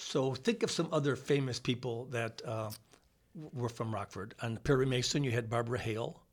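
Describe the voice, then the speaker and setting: A man with an American accent talks at a moderate pace in a medium-pitched, somewhat breathy voice. His intonation stays fairly even. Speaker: dentist and former radio host. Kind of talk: casual chat. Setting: studio.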